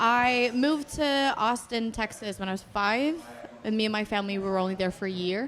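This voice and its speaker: Intonation here is lively, at a moderate pace. The accent is American. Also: woman. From Mexico. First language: Spanish. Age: 20s. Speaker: singer. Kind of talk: casual chat.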